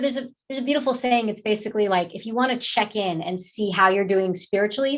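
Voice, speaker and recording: Here a woman speaks with an American accent. Her pitch moves with ordinary variation. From New York. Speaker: actress. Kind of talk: interview.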